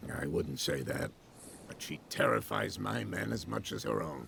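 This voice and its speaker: Over clear background noise, a man puts on a raspy character voice with a very deep, low pitch, lively intonation and a moderate pace. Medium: video game. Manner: measured, slightly evasive.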